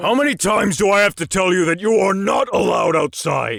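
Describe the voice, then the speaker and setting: A man growls in a raspy, put-on character voice. His pitch is high and his pace fairly quick. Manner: angry, scolding.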